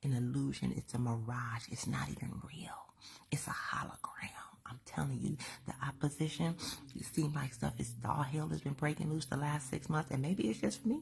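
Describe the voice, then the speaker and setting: Whispering at a moderate pace, a woman speaks. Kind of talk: inspirational talk. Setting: at home. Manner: animated.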